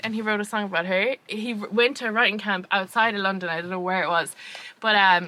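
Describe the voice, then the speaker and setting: A woman speaks very fast in an Irish accent, her tone bright, sharp and animated. Her pitch is medium, with ordinary pitch variation. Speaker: podcast co-host. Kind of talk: casual chat.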